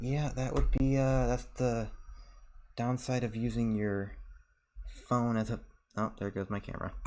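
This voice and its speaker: A man speaks softly at a medium pitch with fairly even intonation. He leaves long, frequent pauses. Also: moderate pace. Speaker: streamer. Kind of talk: casual chat. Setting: hotel room. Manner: soft-spoken.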